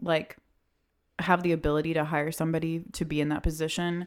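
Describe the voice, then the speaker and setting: A woman with a very deep, low pitch talks at a moderate pace on a very clean recording with a silent background. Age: 20s. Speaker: wedding podcast host. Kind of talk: casual chat. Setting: studio.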